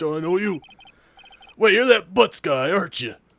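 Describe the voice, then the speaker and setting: Doing a put-on character voice, a man sounds gruff and high-pitched, with lively intonation at a moderate pace. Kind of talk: comic overacting. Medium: game stream. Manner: gruff, blustery, says pal.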